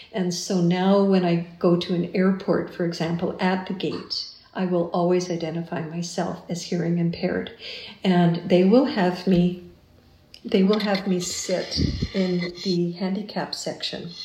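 A woman with a Canadian accent speaks at a fairly slow pace in a fairly low pitch, her intonation monotone and flat. Noticeable background noise and audible room echo surround her. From Canada, Winnipeg. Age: 50s. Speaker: retired teacher and musician. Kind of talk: interview.

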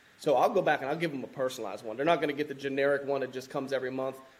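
A man with a fairly high pitch and ordinary pitch variation talks against noticeable background noise. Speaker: firefighter and land investor. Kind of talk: casual interview chat.

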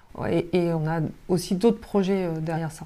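A woman's dark, mellow, medium-pitched voice at a moderate pace, with ordinary pitch variation, on a very clean recording with a silent background. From Brittany, Côtes-d'Armor near Cap Fréhel. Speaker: health tech company founder. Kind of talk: interview. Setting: company office. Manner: hesitant, many fillers.

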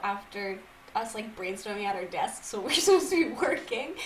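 A woman with an American accent talks at a fairly quick pace in a fairly high pitch with very wide pitch swings. Audible room echo and noticeable background noise surround her. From Massachusetts. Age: 20s. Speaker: podcast co-host, live TV worker. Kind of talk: casual chat.

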